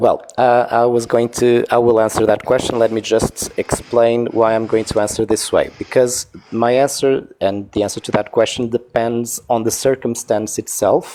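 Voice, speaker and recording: This man, with a Portuguese accent, speaks at a moderate pace with hardly any pauses. His intonation is monotone and flat, and there's noticeable background noise. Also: medium pitch for a man. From Portugal. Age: 40s. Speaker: caller in a debate livestream. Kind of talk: debate. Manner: halting, searching for words.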